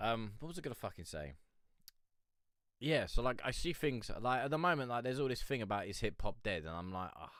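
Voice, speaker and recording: With very wide pitch swings, a man speaks at a fairly quick pace in a medium pitch on a very clean recording with a silent background. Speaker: independent music reviewer / live streamer. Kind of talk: casual live-stream chat. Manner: hesitant, rambling.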